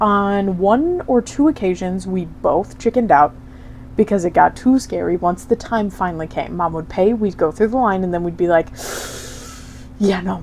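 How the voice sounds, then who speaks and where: Against noticeable background noise, a woman speaks at a moderate pace in a medium pitch with ordinary pitch variation. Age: 20s. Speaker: podcast co-host. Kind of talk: casual chat.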